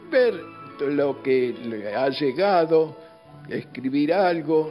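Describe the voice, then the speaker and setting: Over music in the background, a man talks at a very slow pace and a fairly high pitch. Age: 80s+. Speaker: retired pediatric doctor. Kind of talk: interview answer.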